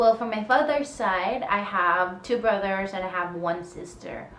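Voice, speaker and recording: A woman speaks with a Filipino accent. Audible room echo and noticeable background noise surround her voice. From Philippines. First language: Tagalog. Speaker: vlogger. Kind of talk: casual Q&A vlog.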